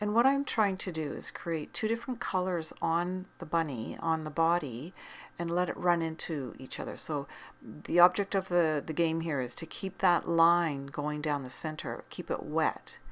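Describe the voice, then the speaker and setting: On a very clean recording with a silent background, a woman with a fairly low voice speaks at a moderate pace in a calm, relaxed tone with lively intonation. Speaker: art teacher. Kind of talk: tutorial.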